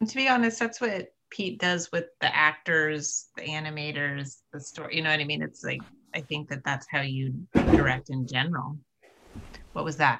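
A woman's intonation is lively as she proceeds at a moderate speed. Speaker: film producer. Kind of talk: moderated panel conversation. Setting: video call.

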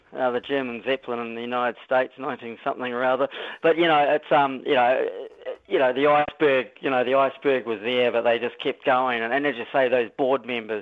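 Speaking with a New Zealand accent, a man keeps a medium pitch and fairly even intonation at a fairly quick pace. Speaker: talkback caller. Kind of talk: talkback radio. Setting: phone call. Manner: halting.

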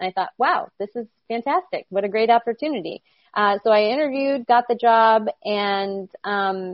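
This woman has an unremarkable speaking voice pitched fairly high. She talks at a moderate pace. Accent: American. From upstate New York. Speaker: sports sales executive. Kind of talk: interview.

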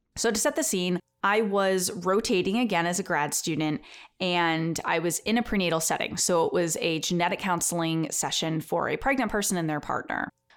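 On a very clean recording with a silent background, a woman speaks in an ordinary speaking voice at medium pitch with ordinary pitch variation. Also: fairly quick pace, very even loudness. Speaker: genetic counselor and podcaster. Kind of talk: storytelling.

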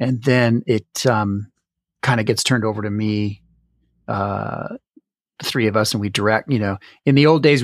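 Recorded very cleanly over a silent background, a man with a plain, everyday voice speaks at medium pitch with fairly even intonation, in a dry, close sound with no echo. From Canada. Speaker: jazz musician and podcast producer. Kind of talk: interview.

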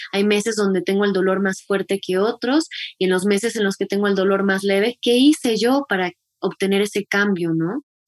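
Recorded with a dry, close sound and no echo, a normal speaking voice holds very even loudness at a moderate pace with ordinary pitch variation. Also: woman, medium pitch for a woman. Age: 30s. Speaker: menstrual health educator. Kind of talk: interview.

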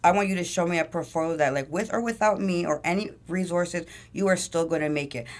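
At a fairly quick pace, a woman with a Toronto accent speaks at a fairly low pitch with ordinary pitch variation. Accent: Toronto Canadian English. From Toronto, Canada. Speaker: entrepreneur and music manager. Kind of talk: casual interview.

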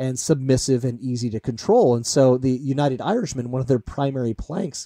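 In an American accent, the speaker has a dark, mellow tone and a moderate pace. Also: man, dry, close sound with no echo. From US Midwest, Iowa. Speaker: historian. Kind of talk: interview.

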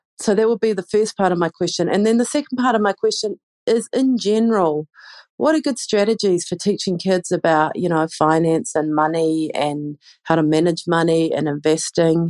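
Speaking in a New Zealand accent with lively intonation, this voice holds a moderate pace and very even loudness in a dry, close sound with no echo against a quiet background. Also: woman, fairly low pitch for a woman. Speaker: parent. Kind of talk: recorded listener question.

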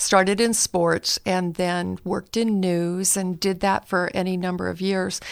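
In a very clean recording with a silent background, a woman with an American accent and an unremarkable speaking voice talks at a medium pitch and a fairly slow pace. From US West Coast, Northern California. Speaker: marriage and family therapist. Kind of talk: podcast interview.

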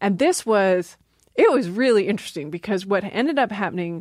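Heard in a very clean recording with a silent background, a normal speaking voice moves at a moderate pace with lively intonation. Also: woman. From Maryland. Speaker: linguistics professor. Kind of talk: casual interview.

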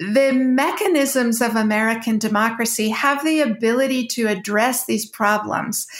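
Loudness stays very even, with fairly even intonation and hardly any pauses. The pace is moderate, and there is noticeable background noise. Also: woman, fairly high pitch for a woman. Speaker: debater and former government official. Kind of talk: moderated debate.

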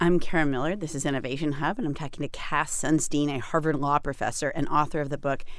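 This woman has a very deep, low pitch and an American accent. She talks at a very fast pace with fairly even intonation. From US New England. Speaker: radio host. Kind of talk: radio interview.

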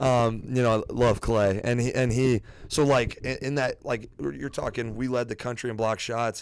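A man with an American accent and a normal speaking voice, medium pitch, fairly even intonation, moderate pace and hardly any pauses, in a very clean recording with a silent background. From Iowa, US Midwest. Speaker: high school English teacher, former college basketball player. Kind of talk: casual chat. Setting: coach's office.

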